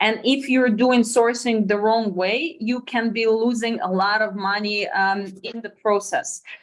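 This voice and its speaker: The speech comes in a Russian accent at a fairly slow pace. There are hardly any pauses. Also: woman, fairly high pitch for a woman, ordinary pitch variation. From Russia, near China border. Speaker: sourcing company co-founder. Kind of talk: webinar presentation.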